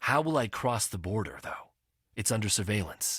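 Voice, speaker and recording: A man growls in a put-on character voice at a fairly low pitch. He keeps a moderate pace. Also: very clean recording, silent background. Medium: read story. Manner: humble, deferential.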